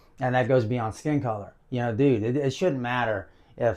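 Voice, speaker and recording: A man with a Southern US accent, medium pitch, fairly even intonation and a moderate pace, over a quiet background. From US South. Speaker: video blogger. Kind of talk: casual monologue to camera. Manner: casual, with many fillers.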